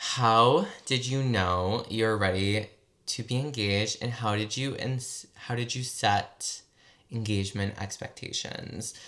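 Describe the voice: Slowly and with a bright, sharp tone, a man with an American accent speaks at a fairly low pitch. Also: ordinary pitch variation.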